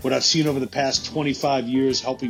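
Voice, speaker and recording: Music in the background behind a man's medium-pitched voice with fairly even intonation. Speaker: podcast host. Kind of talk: book promo read.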